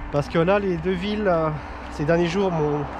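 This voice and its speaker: A man speaks fairly quickly over background music, the sound dry with no echo. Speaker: travel vlogger. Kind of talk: casual vlog chat. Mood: relaxed, content. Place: forest. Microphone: phone near.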